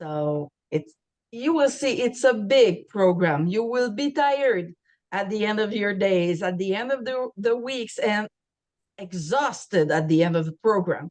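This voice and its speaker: Lively intonation from a woman at a fairly slow pace. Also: medium pitch for a woman. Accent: Quebec. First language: French. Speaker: university program staff. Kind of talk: information session presentation.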